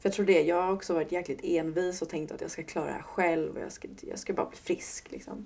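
A woman talks at a fairly quick pace with hardly any pauses and big swings in loudness. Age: 20s. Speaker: podcast guest living with PMDS. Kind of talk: personal testimony interview.

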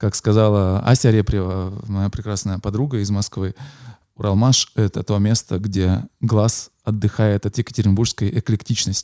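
A man speaks at a moderate pace with a fairly low pitch and a dark, mellow tone, his intonation flat and monotone. The recording is very clean with a silent background and a dry, close sound with no echo. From Russia, Yekaterinburg. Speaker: podcast host, musician. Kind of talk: casual chat. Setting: recording location in a city building.

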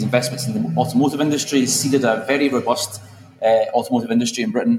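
This man has a Glaswegian accent. He talks at a fairly quick pace with ordinary pitch variation. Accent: Glaswegian Scottish. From Scotland, Glasgow. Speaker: politician. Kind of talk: conference panel talk. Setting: stage with audience.

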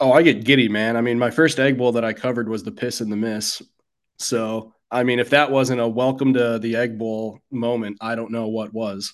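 The man has a normal speaking voice, medium in pitch, with fairly even intonation at a moderate pace. The background is quiet. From US Midwest. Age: 30s. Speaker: sports writer. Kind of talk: casual chat.

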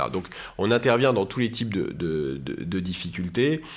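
Speaking at a fairly slow pace, a man keeps to a fairly low pitch. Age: 40s. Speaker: business lawyer. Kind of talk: interview. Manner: halting, frequent repetitions.

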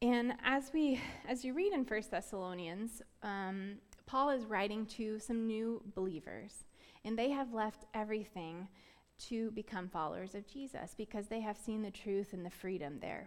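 A woman speaks at a moderate pace with an American accent, her pitch fairly high with ordinary variation. The recording is very clean, with a silent background. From US South, Florida. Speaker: preacher. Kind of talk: sermon.

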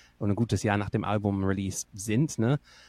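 Dry, close sound with no echo and a very clean recording with a silent background, carrying a man's fairly low pitch, fairly even intonation and moderate pace. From northern England. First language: English (speaking German). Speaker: singer-songwriter. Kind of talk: casual chat.

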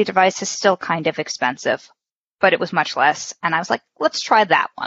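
A woman with a normal speaking voice talks at a moderate pace, her fairly low pitch showing ordinary variation. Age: 30s. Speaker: returning podcast guest. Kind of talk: casual interview chat.

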